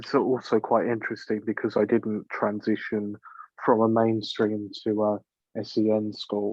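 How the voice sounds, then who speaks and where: A man in an English accent talks at a fairly slow pace with a fairly low pitch and monotone, flat intonation. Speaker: panel guest. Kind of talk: casual chat.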